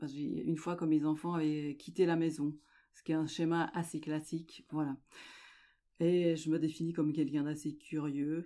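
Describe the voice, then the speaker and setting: A woman speaks at a moderate pace in a very deep, low voice with a dark, mellow tone and flat, monotone intonation, her loudness swinging widely, on a very clean recording with a silent background. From French-speaking Switzerland, Lake Geneva. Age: 60s. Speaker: amateur journalist and sailor. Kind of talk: interview.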